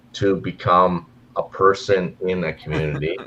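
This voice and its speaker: A man speaks with a Canadian accent. His pace is fairly slow. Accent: Canadian, noticeable. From Canada, near Minnesota. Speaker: gold mine community relations worker. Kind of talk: casual chat. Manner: halting, repeats words.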